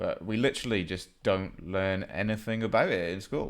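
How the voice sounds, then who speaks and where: This man talks with a Welsh accent. His pace is moderate and his pitch variation ordinary. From Wales. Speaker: geography game streamer. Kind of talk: gameplay commentary. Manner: casual, halting with many fillers.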